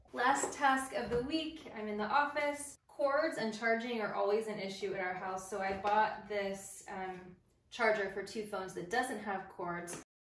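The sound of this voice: In a room with audible echo, a woman speaks at a medium pitch and fairly slow pace, her tone fairly bright and her intonation fairly even.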